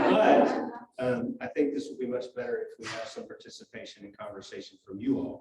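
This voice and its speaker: Speaking fairly quickly, the man shows big swings in loudness. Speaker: hospital chaplain. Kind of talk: church talk / lecture. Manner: soft-spoken; halting.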